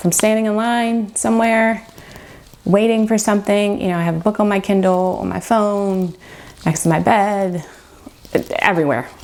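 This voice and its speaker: Speaking with a Mid-Atlantic American accent, a woman uses a medium pitch and ordinary pitch variation. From Maryland, Baltimore area. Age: 40s. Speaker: book vlogger. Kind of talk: casual Q&A vlog. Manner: chatty, casual with fillers.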